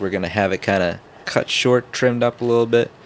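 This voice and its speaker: Fairly quick speech from a man, ordinary in pitch variation, noticeable background noise underneath. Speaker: podcast host and small content creator. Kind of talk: casual chat. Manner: fast.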